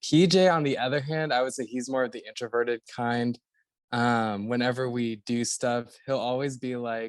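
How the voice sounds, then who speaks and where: A man with a plain, everyday voice talks at a moderate pace in a medium pitch with fairly even intonation, recorded dry and close with no echo against a quiet background. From Florida (Orlando). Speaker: actor and podcast guest. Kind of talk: casual interview.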